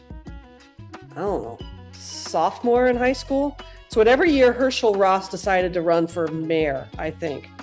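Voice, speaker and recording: A woman speaks fairly slowly in a General American accent, with music in the background. Her pitch swings very widely and her loudness swings a lot. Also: medium pitch for a woman. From Aspen, Colorado. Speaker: theater props maker. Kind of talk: podcast interview answer. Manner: casual, hesitant.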